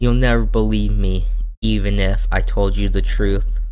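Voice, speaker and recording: The pace here is moderate. The voice is a put-on character voice. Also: man. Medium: game stream. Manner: pleading, then sinister.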